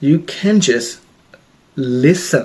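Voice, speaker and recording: The man's voice is fairly high, with ordinary pitch variation. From Australia. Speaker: self-help vlogger, healthcare worker. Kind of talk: casual advice talk to camera. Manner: hesitant, frequent repetitions.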